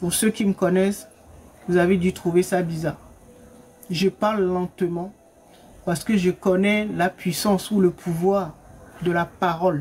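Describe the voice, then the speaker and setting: Fairly slow pace with long, frequent pauses. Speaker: spiritual coach. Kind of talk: teaching talk from a live. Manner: soft-spoken.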